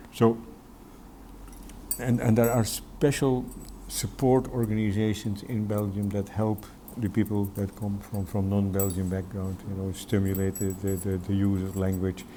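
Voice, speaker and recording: A man speaks at a moderate pace with a Dutch accent and a fairly low pitch. His tone is dark and mellow, and his intonation stays fairly even. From Netherlands. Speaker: educator and Sikh community worker. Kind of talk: interview. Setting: studio. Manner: halting, many repetitions.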